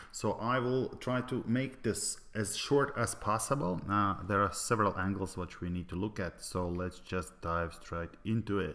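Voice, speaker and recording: A man's fairly low voice with a non-native accent, fairly slow pace, ordinary pitch variation, and hardly any pauses. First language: Latvian. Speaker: network marketing presenter. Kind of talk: sales pitch. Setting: online presentation. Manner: halting, many fillers.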